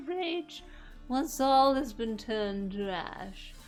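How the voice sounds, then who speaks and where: In a put-on character voice, a female-sounding speaker delivers a menacing, theatrical tone at a high pitch and a fairly slow pace, with clear background noise. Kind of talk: sermon-like.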